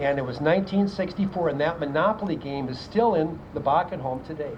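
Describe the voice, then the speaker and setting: A fairly quick delivery with an Upper Midwest accent over noticeable background noise. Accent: Upper Midwest American. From South Dakota, Aberdeen. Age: 70s. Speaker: retired teacher. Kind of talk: public speech.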